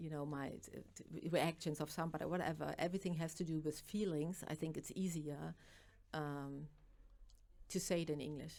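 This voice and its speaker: In a German accent, a woman speaks at a moderate pace with a very deep, low pitch, a dark, mellow tone and monotone, flat intonation. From East Germany. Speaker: author and makeup artist. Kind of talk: interview. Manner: halting.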